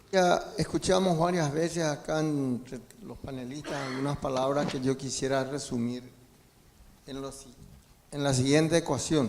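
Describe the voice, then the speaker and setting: Over noticeable background noise, a man with a fairly high pitch and ordinary pitch variation speaks fairly slowly, with big swings in loudness. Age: 70s. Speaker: audience member asking a question. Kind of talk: audience question at a seminar.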